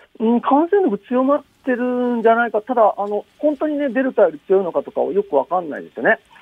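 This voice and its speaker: A man talks at a very fast clip in an extremely high voice, his loudness swinging widely, his intonation lively and his speech almost free of pauses. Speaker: virologist. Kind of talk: phone interview. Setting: phone call.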